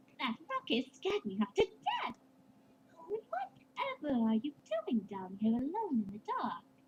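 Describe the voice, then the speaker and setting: A female-sounding, put-on character voice speaks at a moderate pace, high in pitch with very wide pitch swings. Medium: read story. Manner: elegant, dramatic.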